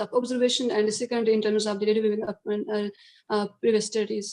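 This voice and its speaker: Fairly quick and monotone, with flat intonation, a woman's fairly high voice has a dark, mellow tone. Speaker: conference paper presenter. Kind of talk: academic presentation and Q&A. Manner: fast; halting, many fillers.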